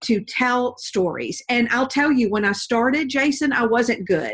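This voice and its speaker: In a Southern accent, a woman speaks in a high pitch. Her pace is fairly slow. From US South, Georgia. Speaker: professional storyteller and speaker. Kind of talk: interview.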